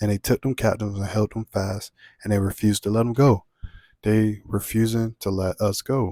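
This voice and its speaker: Over a very clean recording with a silent background, a man speaks with a fairly low pitch, a dark, mellow tone and monotone, flat intonation, the sound dry and close with no echo. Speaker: religious video preacher. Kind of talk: bible teaching monologue. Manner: fast.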